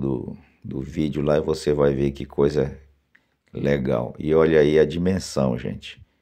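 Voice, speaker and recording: A man with a very deep, low pitch and a dark, mellow tone talks at a fairly slow pace with vocal fry. His intonation is fairly even. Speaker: video channel host promoting a social club. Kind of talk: sales pitch, outdoor video tour. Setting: outdoors, filming on site with drone.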